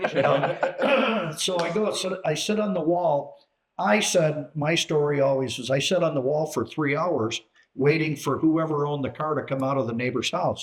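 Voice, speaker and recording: Speaking with an American accent at a moderate pace, a man uses a fairly high pitch and ordinary pitch variation. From US Midwest, Chicago area. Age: 60s. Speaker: retired businessman and car enthusiast. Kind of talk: casual chat. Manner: halting.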